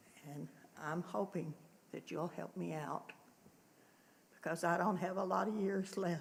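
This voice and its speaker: A woman's fairly low voice with vocal fry, fairly slow and fairly even in intonation, broken by long, frequent pauses. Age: 80s+. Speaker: elderly resident speaking at public hearing. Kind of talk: public hearing comment.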